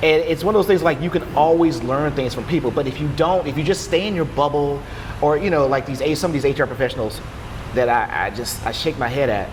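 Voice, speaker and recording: A man rushes along at a very fast pace with ordinary pitch variation, against noticeable background noise. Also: fairly high pitch for a man. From Louisiana. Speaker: HR professional. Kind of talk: podcast interview. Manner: animated.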